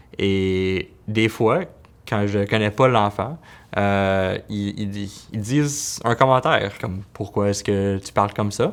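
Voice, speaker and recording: In a very clean recording with a silent background, a man speaks very slowly at a fairly low pitch, with ordinary pitch variation. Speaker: pediatric physiotherapist. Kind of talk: interview answer. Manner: stutters.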